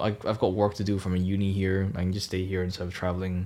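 A man speaks with a Cantonese accent at a moderate pace. His pitch is very deep and low. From Hong Kong. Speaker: student podcast co-host. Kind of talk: casual chat.

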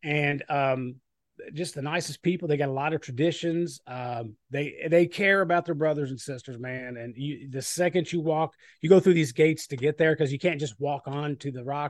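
A man talks at a moderate pace in a fairly high pitch with fairly even intonation. His loudness swings widely over a quiet background. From Kentucky. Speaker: fire department training chief and podcaster. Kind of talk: casual interview chat.

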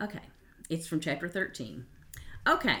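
A woman in a Kentucky accent. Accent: Southern US, Kentucky. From Western Kentucky. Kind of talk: interview, casual conversation.

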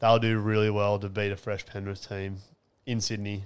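In an Australian accent, a man talks at a moderate pace in a fairly low, monotone voice with flat intonation, captured on a very clean recording against a silent background. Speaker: podcast co-host. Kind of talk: casual sports chat podcast.

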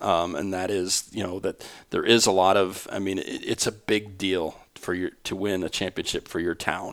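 A man with an Upper Midwest accent, very deep and low in pitch, flat and monotone, at a moderate pace, on a very clean recording with a silent background. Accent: Upper Midwest American. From Iowa, US Midwest. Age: 50s. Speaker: sports association administrator. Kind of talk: interview. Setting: association office building, not studio.

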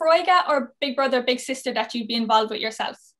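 With a Cork accent and lively intonation, a woman talks at a fairly quick pace. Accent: Cork Irish. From Ireland, Cork. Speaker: podcast co-host and youth mentor. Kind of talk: podcast interview.

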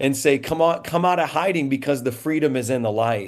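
A man with fairly high pitch has an unremarkable speaking voice. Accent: American. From Indiana. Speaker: pastor. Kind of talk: panel discussion.

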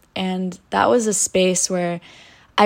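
Very clean recording of a woman at medium pitch and moderate pace, silent background. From US, Polish-American household. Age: 20s. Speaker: podcast host. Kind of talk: monologue, personal story.

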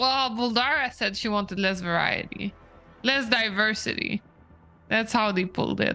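Her bright, sharp tone sits at a fairly high pitch for a woman, with ordinary pitch variation, very even loudness and a moderate pace. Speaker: tabletop roleplaying player. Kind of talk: casual banter and roleplay.

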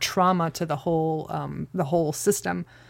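A woman's fairly low-pitched voice in a very clean recording with a silent background. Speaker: host's wife, Bible study discussant. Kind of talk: casual Bible study discussion. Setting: home closet, shared microphone.

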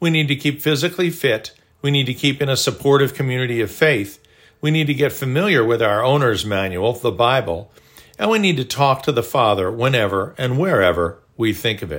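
Using a normal speaking voice, a man talks at a fairly quick pace in a medium pitch with lively intonation. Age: 60s. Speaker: devotional author and narrator. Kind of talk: scripted narration.

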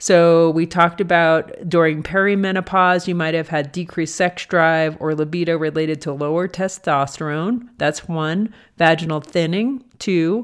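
A woman with a normal speaking voice talks at a moderate pace, her pitch fairly low and her intonation fairly even. She hardly pauses, and the background is quiet. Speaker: doctor and podcast host. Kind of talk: educational podcast discussion, casual.

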